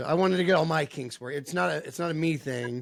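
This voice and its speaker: Talking fairly quickly, a man uses an unremarkable speaking voice whose pitch varies in an ordinary way. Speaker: podcast host. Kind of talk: casual podcast intro.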